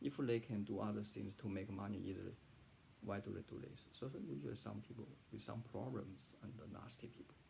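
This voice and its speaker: Speaking fast-ish with a Chinese accent, a man uses lively intonation, vocal fry, a fairly low pitch and a dark, mellow tone. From southern China. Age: 40s. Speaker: freelance writer and translator. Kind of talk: personal testimony. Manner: halting, many fillers and repetitions.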